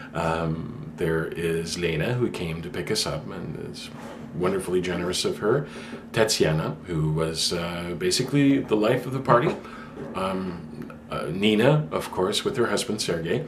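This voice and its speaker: A man speaks at a fairly slow pace in a very deep, low voice with lively intonation, over noticeable background noise and audible room echo. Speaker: vlogger. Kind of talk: casual vlog talk. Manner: hesitant, many fillers.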